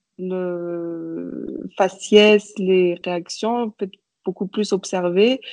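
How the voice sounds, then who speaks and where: A woman talks at a very slow pace with a medium pitch and fairly even intonation. The sound is dry and close, with no echo. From Madagascar. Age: 30s. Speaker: painter, visual artist. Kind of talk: interview. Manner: hesitant, many fillers and repetitions.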